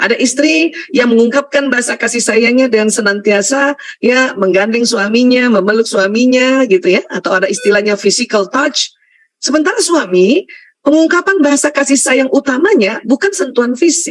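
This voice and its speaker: A high-pitched woman with lively intonation and very even loudness. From Indonesia, Bugis heritage (South Sulawesi). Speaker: Islamic lecturer, doctor. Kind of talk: religious lecture.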